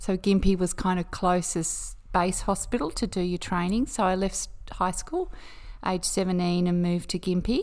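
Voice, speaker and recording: At a moderate pace, a woman with an Australian accent talks at a medium pitch with fairly even intonation. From Queensland, Australia. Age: 50s. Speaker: nurse. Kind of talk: casual chat. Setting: at home.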